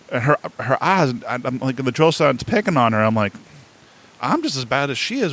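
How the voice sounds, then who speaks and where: A man with an American accent speaks at a fairly quick pace. His medium-pitched voice has very wide pitch swings. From New England, Boston area. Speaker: podcast host, military veteran. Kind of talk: interview. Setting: podcast.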